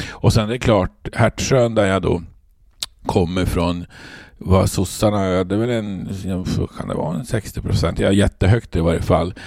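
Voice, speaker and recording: A man talks at a moderate pace with ordinary pitch variation, leaving long, frequent pauses. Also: fairly low pitch for a man. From Norrbotten, Sweden (Luleå). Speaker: trade union leader. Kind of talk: interview.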